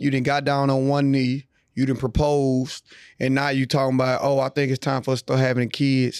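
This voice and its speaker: A man speaks at a fairly quick pace in a monotone, flat intonation at medium pitch, the sound dry and close with no echo. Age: 30s. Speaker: podcast co-host. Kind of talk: casual chat.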